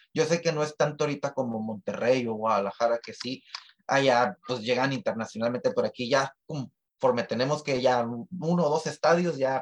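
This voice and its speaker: Using a normal speaking voice at a fairly quick pace, the speaker shows ordinary pitch variation in a dry, close sound with no echo. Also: man. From Tijuana, Mexico. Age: 30s. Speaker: musician. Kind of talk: interview.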